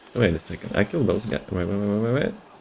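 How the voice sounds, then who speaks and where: A man with a non-native accent, fairly low pitch and ordinary pitch variation, over noticeable background noise. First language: not English. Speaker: video game streamer. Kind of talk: live gameplay stream commentary. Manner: casual, halting with repeated words.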